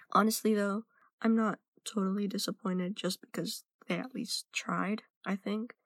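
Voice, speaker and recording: A woman with an American accent and an unremarkable speaking voice talks at a moderate pace with fairly even intonation, in a dry, close sound with no echo. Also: medium pitch for a woman. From United States. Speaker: listener sending voice message. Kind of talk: recorded personal testimony.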